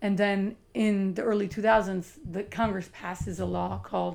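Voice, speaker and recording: Taking her time, a woman speaks at a fairly slow pace. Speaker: lighthouse site manager. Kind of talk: casual chat. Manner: animated.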